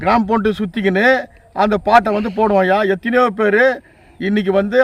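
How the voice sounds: Here a man talks at a high pitch and a fairly quick pace. His intonation stays fairly even.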